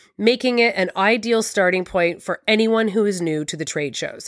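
In a Canadian accent, a woman with an ordinary speaking voice talks at a moderate pace with lively intonation. The sound is dry and close with no echo, on a very clean recording with a silent background. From Canada. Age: 40s. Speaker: podcast host, interior designer. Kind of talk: solo podcast monologue.

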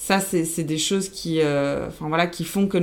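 A woman with a fairly low voice speaks at a fairly slow pace and ordinary pitch variation over noticeable background noise. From Belgium, born in Argentina. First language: Spanish (speaking French). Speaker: account manager. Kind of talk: casual interview.

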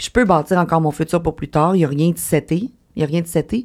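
A woman at a fairly quick pace, with ordinary pitch variation, in a very clean recording with a silent background. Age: 30s. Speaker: online content creator. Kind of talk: casual chat.

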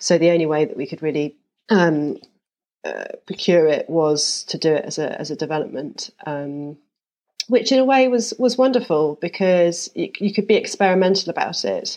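A woman with a London accent speaks at a moderate pace against a quiet background. Her voice has a dark, mellow tone, medium pitch and lively intonation. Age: 40s. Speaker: architect. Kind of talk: casual interview.

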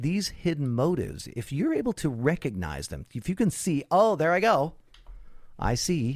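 At a moderate pace, the speaker's pitch swings very widely on a very clean recording with a silent background. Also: man, fairly high pitch for a man. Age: 50s. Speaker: spiritual teacher and coach. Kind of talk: interview.

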